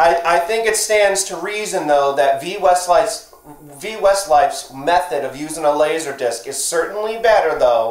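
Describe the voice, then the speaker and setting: The speaking pace is moderate. Room echo can be heard around the man's voice. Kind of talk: casual vlog chat. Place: home room. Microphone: phone near.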